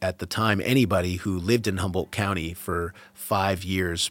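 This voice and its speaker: A man with a very deep, low voice and an American accent. He speaks at a moderate pace with fairly even intonation. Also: very clean recording, silent background. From Massachusetts, suburbs west of Boston. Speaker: cannabis grower and breeder. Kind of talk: interview. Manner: casual, with many fillers.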